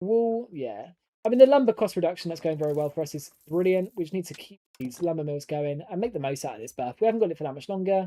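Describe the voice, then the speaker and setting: The speech races along at a very fast pace in an English accent, with hardly any pauses. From southern England. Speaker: gaming streamer. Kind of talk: live stream gameplay commentary. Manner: casual, chatty.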